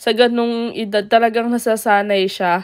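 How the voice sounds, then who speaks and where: On a very clean recording with a silent background, a woman with a fairly high pitch talks at a moderate pace in a monotone, flat intonation. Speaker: family vlogger, parent. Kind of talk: vlog voice-over narration.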